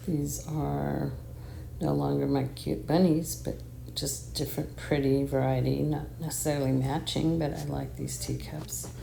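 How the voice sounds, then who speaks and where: Quietly and at a fairly slow pace, a woman talks in a room with audible echo. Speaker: home decor vlogger. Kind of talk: casual home tour. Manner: quiet, talking low.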